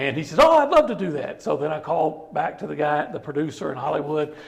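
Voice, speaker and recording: Noticeable noise fills the background as a man talks in an American accent. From East Texas. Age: 50s. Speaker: sportswriter. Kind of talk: casual chat. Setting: barbecue restaurant. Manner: animated storytelling.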